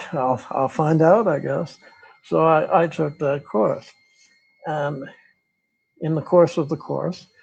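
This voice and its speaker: A man with an American accent, fairly high-pitched with ordinary pitch variation, at a very slow pace with long, frequent pauses. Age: 80s+. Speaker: retired philosophy professor. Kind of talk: interview. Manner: halting.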